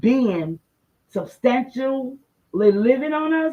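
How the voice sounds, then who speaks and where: The tone is animated, with lively intonation. The voice is somewhat breathy. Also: woman. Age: 60s. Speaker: livestream host. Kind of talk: livestream monologue.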